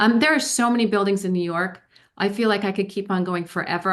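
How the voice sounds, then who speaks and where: A woman's animated, very fast delivery with ordinary pitch variation against a quiet background. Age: 50s. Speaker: novelist. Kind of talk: author interview.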